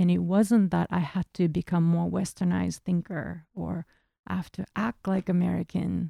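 A woman at a moderate pace in a very clean, silent recording, with a dry, close sound and no echo. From Japan, Tokyo. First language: Japanese. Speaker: painter. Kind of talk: interview.

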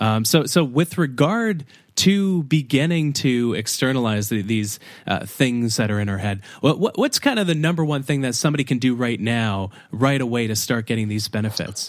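Over a silent background on a very clean recording, a man with a plain, everyday voice speaks at medium pitch and a moderate pace with lively intonation. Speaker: podcast host. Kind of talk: podcast interview. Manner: casual, chatty.

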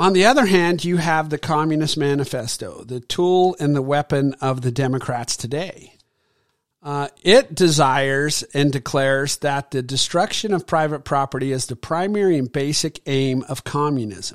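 A man's fairly high voice at a moderate pace, a normal speaking voice with ordinary pitch variation and a dry, close sound with no echo. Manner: earnest, preachy, rallying the audience with moral urgency; declamatory, with punchy numbered points and direct appeals to listeners.

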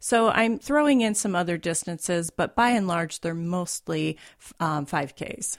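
This is a normal speaking voice. The intonation is lively. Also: woman, fairly low pitch for a woman, fairly slow pace, very clean recording, silent background. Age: 50s. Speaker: writer and recreational runner. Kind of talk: interview. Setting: studio.

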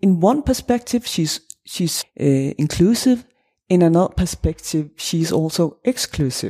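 With a Danish accent, a woman talks at a fairly slow pace in a fairly low pitch, her dark, mellow tone moving through very wide pitch swings in a dry, close sound with no echo. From Denmark. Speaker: associate professor of religious studies. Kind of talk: academic interview. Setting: academic conference.

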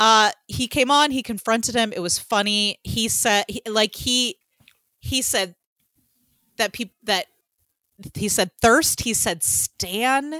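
A woman with an American accent talks at a fairly high pitch in a bright, sharp tone. Her pace is very slow, with long, frequent pauses. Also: ordinary pitch variation, dry, close sound with no echo. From Georgia, US South. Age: 40s. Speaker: podcast co-host. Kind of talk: casual chat.

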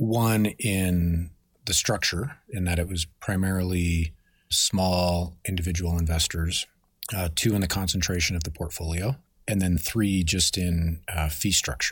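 The recording is very clean, with a silent background. A man with a very deep, low, somewhat breathy voice talks at a fairly slow pace with fairly even intonation. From Denver, Colorado. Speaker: fund manager. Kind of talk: interview.

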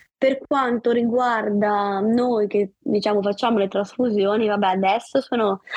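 With an unremarkable speaking voice, a woman talks at a fairly slow pace and a fairly high pitch, with fairly even intonation, very even loudness and hardly any pauses. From Liguria, Savona. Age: 30s. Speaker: sports journalist and patient advocate. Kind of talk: testimony interview.

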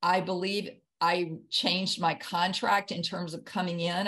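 A woman talks with a Southern US accent at a fairly slow pace. Her voice is fairly low and monotone, with flat intonation. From US South, Jackson, Mississippi. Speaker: author and near-death experience survivor. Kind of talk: interview testimony. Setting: video call.

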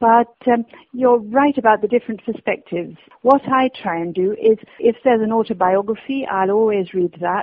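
With a British accent, a woman speaks at a moderate pace in a fairly high pitch with ordinary pitch variation. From Britain. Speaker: obituaries editor and author. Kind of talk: interview.

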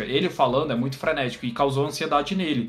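Over noticeable background noise and audible room echo, a man talks at a very fast pace with a medium pitch and ordinary pitch variation. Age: 20s. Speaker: podcast host and editor. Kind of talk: casual chat.

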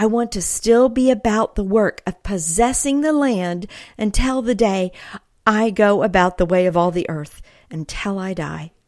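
In a very clean recording with a silent background, a woman uses an ordinary speaking voice at medium pitch, moderate pace and ordinary pitch variation. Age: 50s. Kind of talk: devotional teaching monologue.

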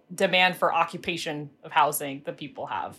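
In an American accent, a woman talks at a moderate pace with fairly even intonation and a normal speaking voice. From Pittsburgh, Western Pennsylvania. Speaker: housing advocacy director. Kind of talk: panel discussion.

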